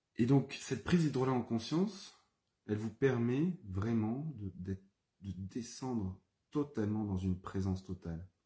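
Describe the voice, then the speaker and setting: A man's somewhat breathy, dark, mellow voice at medium pitch, with lively intonation and a fairly slow pace. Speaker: herbalist and aromatherapy trainer. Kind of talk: live-streamed teaching session. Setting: Facebook live video. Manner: calmer, more settled voice now; halting, many fillers and repetitions.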